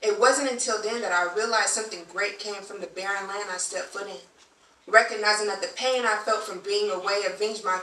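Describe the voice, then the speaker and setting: A woman with an American accent talks at a very fast pace, her intonation fairly even, with audible room echo around her voice. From Southern California, Long Beach; Southern California. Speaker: poet. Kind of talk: poetry performance. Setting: stage with audience.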